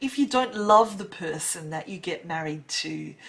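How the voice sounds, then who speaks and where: This voice carries an Australian accent. The intonation is lively. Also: woman. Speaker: English teacher. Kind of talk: casual talk to camera, English lesson.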